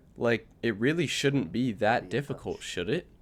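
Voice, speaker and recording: In a very clean recording with a silent background, a man with a plain, everyday voice talks at a moderate pace with lively intonation. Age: 18. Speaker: vlogger. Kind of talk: casual monologue. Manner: casual, filler-heavy.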